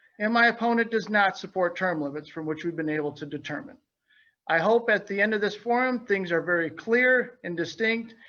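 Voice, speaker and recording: A raised, projected voice in an American accent, bright and sharp in tone, at a moderate pace with ordinary pitch variation, over a quiet background. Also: man. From Illinois. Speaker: state representative candidate, small business owner. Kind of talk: opening statement at candidate forum. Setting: virtual webinar forum.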